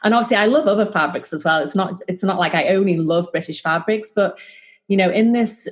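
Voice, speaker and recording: Somewhat breathy, a woman at medium pitch talks at a fairly quick pace with ordinary pitch variation. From northwest England, Liverpool. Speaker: fabric shop owner. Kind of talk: interview conversation. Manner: hesitant, many fillers.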